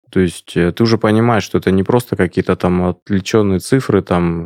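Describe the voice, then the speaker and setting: Very deep and low, this man's voice comes through a dry, close sound with no echo in a very clean recording over a silent background. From Siberia, Krasnoyarsk. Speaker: entrepreneur. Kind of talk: interview. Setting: studio.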